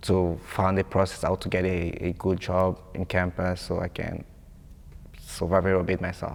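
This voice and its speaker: A man with a non-native accent speaks in a very deep, low pitch with monotone, flat intonation. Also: moderate pace. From Congo. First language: French. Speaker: international student. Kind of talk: interview testimony.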